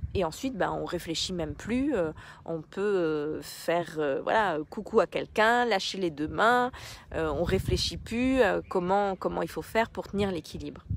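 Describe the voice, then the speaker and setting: Lively intonation from a woman at medium pitch, fairly slow in pace. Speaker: life coach and therapist. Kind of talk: live stream talk to viewers. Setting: outdoors on a beach, live. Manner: hesitant, many fillers.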